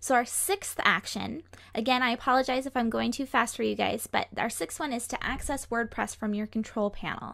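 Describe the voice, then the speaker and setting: A woman with vocal fry, fairly high pitch, ordinary pitch variation and a fairly quick pace. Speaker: web hosting company director of operations. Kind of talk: live class tutorial. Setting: studio, live stream. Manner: fast.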